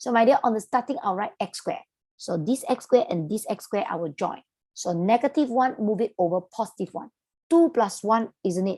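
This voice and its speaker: In a quiet background, a woman with a Malaysian accent talks at a fairly quick pace, her fairly high voice dark and mellow in tone, with lively intonation. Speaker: maths tutor. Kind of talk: online lesson, teaching to students. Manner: casual, chatty.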